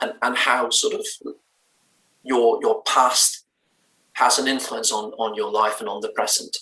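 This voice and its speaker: Speaking at a fairly slow pace, a man talks with a slight Danish accent. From Denmark, Bornholm. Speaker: musician in a band. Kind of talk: interview.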